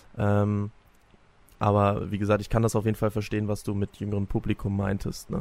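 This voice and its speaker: The intonation is monotone and flat. Delivery moves at a fairly quick pace. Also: man, fairly low pitch for a man. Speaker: fitness trainer apprentice. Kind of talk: casual interview.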